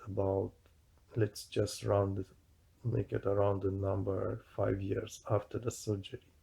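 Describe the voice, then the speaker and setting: This man's fairly low, somewhat breathy voice has a dark, mellow tone and moves at a fairly slow pace. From Romania. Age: 50s. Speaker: video blogger. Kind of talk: personal monologue. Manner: halting.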